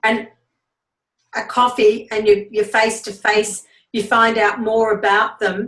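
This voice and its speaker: A woman talks fairly slowly, her pitch fairly high. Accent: Australian. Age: 70s. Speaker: network marketing business leader. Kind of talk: team training talk.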